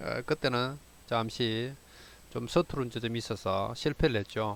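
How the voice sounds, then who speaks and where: A man talks at a very slow pace. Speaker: amateur radio operator. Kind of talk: tutorial. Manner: halting, many fillers.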